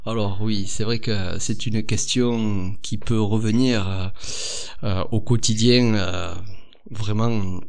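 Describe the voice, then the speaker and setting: A man with a southern French accent talks very slowly at a fairly low pitch, his intonation fairly even. Noticeable background noise and audible room echo are present. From southern France. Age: 30s. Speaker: physiotherapist and osteopath. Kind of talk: podcast interview. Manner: hesitant, many fillers.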